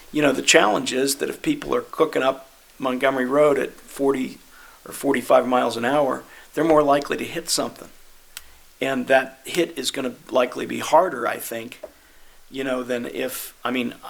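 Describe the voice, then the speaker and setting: With an unremarkable speaking voice, a man of medium pitch talks at a moderate pace with fairly even intonation. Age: 60s. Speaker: city committee member. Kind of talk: committee meeting discussion.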